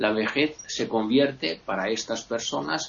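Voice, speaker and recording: A man talking at a very slow pace. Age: 40s. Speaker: occasional panelist. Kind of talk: panel discussion.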